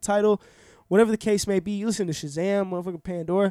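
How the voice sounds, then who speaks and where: Very fast and high-pitched for a man, his voice has a dark, mellow tone. The recording is very clean and dry, close with no echo and a silent background. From Orlando, Florida, US. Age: 20s. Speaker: rapper. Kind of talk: casual interview chat.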